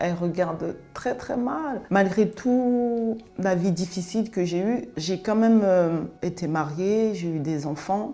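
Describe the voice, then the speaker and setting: A woman at a very slow pace with hardly any pauses, medium pitch and lively intonation, music in the background. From France (raised from age 5, born in Cameroon). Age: 40s. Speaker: interviewee sharing life story. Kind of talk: testimony interview. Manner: hesitant, many fillers.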